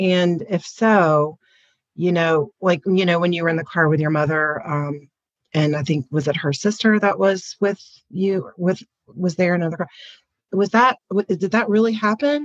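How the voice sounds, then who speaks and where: With an unremarkable speaking voice, a woman talks at a fairly slow pace and fairly low pitch, her intonation lively and her loudness very even, in a dry, close sound with no echo. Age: 50s. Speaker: book club participant. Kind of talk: casual chat.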